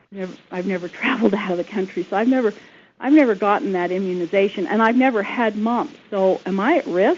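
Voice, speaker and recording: At a very fast pace, a woman speaks at medium pitch with ordinary pitch variation over noticeable background noise. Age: 60s. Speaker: caller. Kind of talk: phone-in question.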